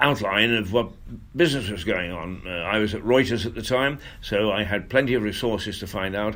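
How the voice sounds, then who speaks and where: With an English accent, a man speaks at a fairly quick pace in a fairly low pitch, showing ordinary pitch variation against audible room echo. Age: 70s. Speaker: radio host. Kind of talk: casual monologue. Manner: halting.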